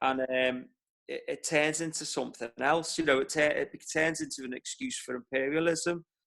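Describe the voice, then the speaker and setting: A Liverpool accent at a moderate pace, with ordinary pitch variation. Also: man. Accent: Liverpool (Scouse). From Liverpool, England. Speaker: war veteran. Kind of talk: personal testimony in online talk. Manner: halting, many repetitions.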